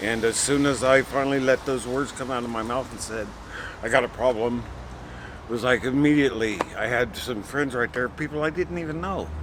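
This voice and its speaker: Over noticeable background noise, a man talks at a moderate pace with a medium pitch. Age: 50s. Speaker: program participant in addiction recovery. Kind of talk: testimony.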